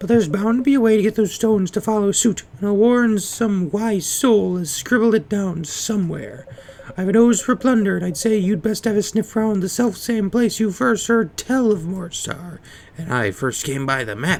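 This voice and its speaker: A put-on character voice at a fairly high pitch, with light background noise. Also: moderate pace. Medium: game stream. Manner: old-fashioned, hearty.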